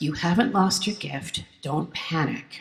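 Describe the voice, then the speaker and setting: This woman talks with noticeable background noise in the clip. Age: 60s. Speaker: folk singer-songwriter. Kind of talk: keynote speech.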